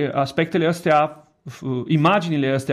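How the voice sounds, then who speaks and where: Against a quiet background, a man with an Italian accent speaks fairly slowly with fairly even intonation. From Italy. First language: Italian (speaking Romanian). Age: 30s. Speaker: education director. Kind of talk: radio interview. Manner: halting.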